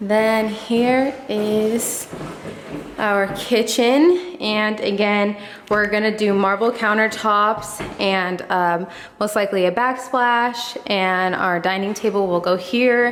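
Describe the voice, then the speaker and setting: A woman at a fairly high pitch, very slow pace, ordinary pitch variation and very even loudness, with audible room echo and noticeable background noise. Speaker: home decor vlogger. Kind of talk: casual vlog house tour. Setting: empty house, echoey rooms.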